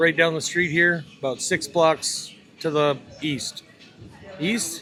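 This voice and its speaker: A fairly high-pitched man with a North Dakota accent, very slow and fairly even in intonation, music in the background. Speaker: tattoo artist and podcast co-host. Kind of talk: casual interview chat. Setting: tattoo festival.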